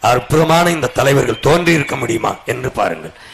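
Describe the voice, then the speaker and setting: A man is speaking. Background noise is noticeable. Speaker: political leader giving a campaign speech. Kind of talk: political campaign speech to a crowd. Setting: outdoors, public address system at a campaign vehicle rally. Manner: fiery, rhetorical, declamatory.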